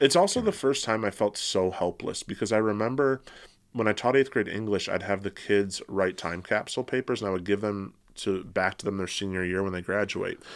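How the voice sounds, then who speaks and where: A man with an American accent and a plain, everyday voice, fairly low in pitch with ordinary variation, on a very clean recording with a silent background. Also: fairly quick pace. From Michigan, Metro Detroit. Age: 30s. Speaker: therapist and professor. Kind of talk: casual interview conversation. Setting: studio with headphones and mics.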